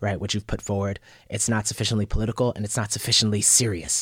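Recorded very cleanly against a silent background with a dry, close sound and no echo, a man with an American accent and a plain, everyday voice speaks at a fairly low pitch and a fairly quick pace. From New York (Bronx, South Yonkers). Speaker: poet and literary scholar. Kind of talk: interview.

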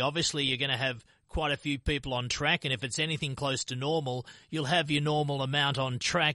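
Over a quiet background, a man with a fairly high pitch and a bright, sharp tone speaks at a moderate pace in a dry, close sound with no echo. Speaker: radio host. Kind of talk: radio interview.

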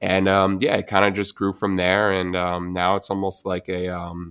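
On a very clean recording with a silent background, a man with an American accent speaks at a very deep, low pitch with monotone, flat intonation. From New Jersey. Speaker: physical therapist. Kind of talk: casual interview.

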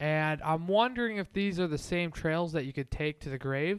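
This man's voice sits fairly high for a man, with ordinary pitch variation. The recording is very clean, with a silent background. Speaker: co-host. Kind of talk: casual banter. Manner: halting, filler words.

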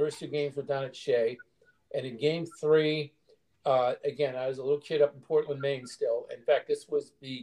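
Using ordinary pitch variation, a man with an American accent speaks in a dark, mellow tone. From Boston (Cambridge), Massachusetts. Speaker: sports writer. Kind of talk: casual chat.

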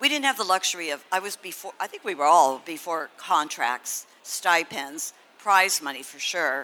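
Lively intonation and a bright, sharp tone mark this woman's fairly low voice, with an American accent, a moderate pace and hardly any pauses. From Los Angeles, California. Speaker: pioneering marathon runner and coach. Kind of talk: live panel discussion. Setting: stage with audience.

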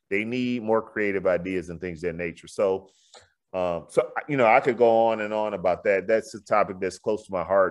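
In a quiet background, a man with an American accent and a fairly low pitch talks at a moderate pace in a normal speaking voice. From Houston, Texas (Fifth Ward). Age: 40s. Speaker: real estate developer and builder. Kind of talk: interview.

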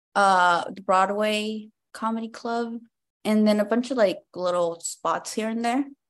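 A woman's fairly high, a normal speaking voice, fairly slow and fairly even in intonation, with big swings in loudness. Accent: American. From Compton, California. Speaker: stand-up comedian. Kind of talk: casual interview chat.

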